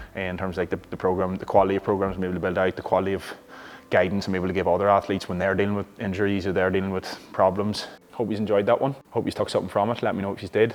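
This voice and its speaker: A man with an Irish accent speaks at a very fast pace in a fairly low pitch, his intonation monotone and flat. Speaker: Gaelic football player and coach. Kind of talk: gym vlog, casual explanation. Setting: gym. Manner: casual, conversational.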